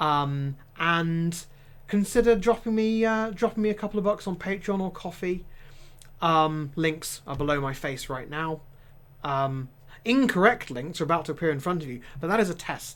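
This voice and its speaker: Someone speaks at a moderate pace with an East Anglian accent in a very clean recording with a silent background. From England, Norfolk. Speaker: streamer and tabletop game master. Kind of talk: live stream chat. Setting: live stream. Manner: casual with many fillers.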